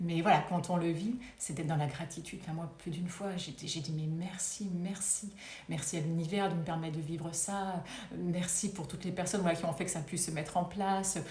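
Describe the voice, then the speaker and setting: A woman with a fairly low pitch for a woman speaks at a moderate pace, with audible room echo. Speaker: wellbeing coach. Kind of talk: live stream talk. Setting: live video stream.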